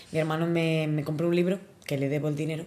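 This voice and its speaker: Woman's voice with a dark, mellow tone. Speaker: podcast co-host. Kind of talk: casual chat. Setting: home.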